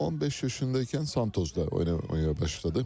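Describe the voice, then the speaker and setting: A man's dark, mellow tone carried by lively intonation. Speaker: radio host. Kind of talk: radio show hosting. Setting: studio.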